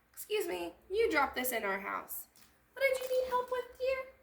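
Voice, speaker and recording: A woman puts on a squeaky character voice at an extremely high pitch and talks at a moderate pace. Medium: read story. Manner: gentle, warm.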